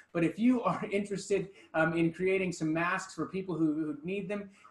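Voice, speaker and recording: A high-pitched male voice at a moderate pace, with audible room echo. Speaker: pastor. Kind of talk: church announcements. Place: church.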